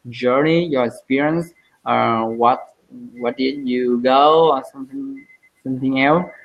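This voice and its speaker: A woman's very deep, low voice in a Vietnamese accent at a very slow pace. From southern Vietnam. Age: 20s. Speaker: English learner. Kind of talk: language lesson. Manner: halting.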